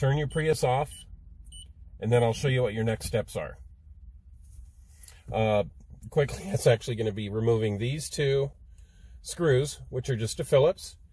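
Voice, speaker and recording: A man's somewhat breathy voice, dark and mellow in tone, at a moderate pace with long, frequent pauses, in a dry sound with no echo. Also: ordinary pitch variation. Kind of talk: tutorial. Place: car. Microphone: phone near.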